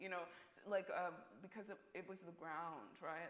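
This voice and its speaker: A woman's fairly low-pitched voice, an ordinary speaking voice, at a fairly slow pace with ordinary pitch variation. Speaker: contemporary artist; panelist. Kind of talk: panel discussion. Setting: stage with audience. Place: hall.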